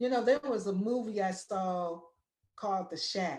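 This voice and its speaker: A woman speaks at a fairly slow pace in a normal speaking voice, medium in pitch with ordinary pitch variation. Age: 60s. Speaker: painter and muralist, artist in residence. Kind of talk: artist talk, personal testimony. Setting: virtual event. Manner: emotional, repetitive.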